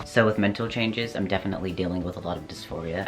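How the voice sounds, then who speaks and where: Music plays behind a man whose very deep, low pitch carries ordinary pitch variation. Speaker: vlogger. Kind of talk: casual vlog update.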